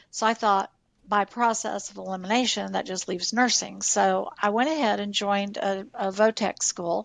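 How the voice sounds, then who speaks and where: In a very clean recording with a silent background and a dry, close sound with no echo, a woman uses an unremarkable speaking voice at medium pitch with ordinary pitch variation. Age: 60s. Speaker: nurse and former hospital executive. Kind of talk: podcast interview.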